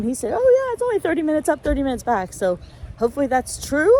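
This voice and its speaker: The speaker talks at a very fast pace with lively intonation. Noticeable background noise sits behind the voice. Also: woman. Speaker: travel vlogger. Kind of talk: casual travel vlog chat. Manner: hesitant, many fillers.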